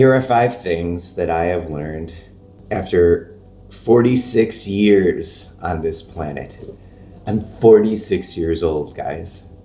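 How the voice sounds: Using a put-on character voice, a man speaks in a very deep, low pitch that is hoarse. He goes at a fairly slow pace with ordinary pitch variation.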